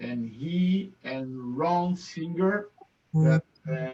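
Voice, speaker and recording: A man with a non-native accent speaks at a fairly high pitch with ordinary pitch variation. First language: not English. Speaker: Rotary club member. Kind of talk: thank-you remarks. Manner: halting.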